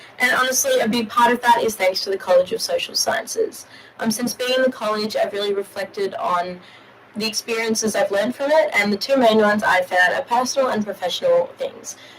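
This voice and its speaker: Noticeable background noise sits behind a woman talking at a fairly quick pace. Her pitch is fairly high, with ordinary variation. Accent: Australian. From Australia. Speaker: university student. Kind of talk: prepared personal testimony. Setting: studio live stream.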